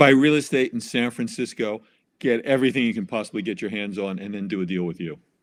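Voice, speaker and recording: A man with a New York accent talks at a very fast pace. His pitch is medium, with ordinary variation. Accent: New York, noticeable. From New York City. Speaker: tax professional. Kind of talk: casual interview.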